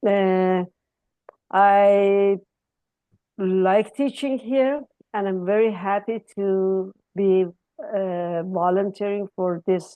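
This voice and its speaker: A woman's medium-pitched voice with an Iranian accent and fairly even intonation, at a very slow pace with long, frequent pauses. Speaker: accounting professor. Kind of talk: informal speech at virtual ceremony. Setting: video call. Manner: hesitant, many fillers.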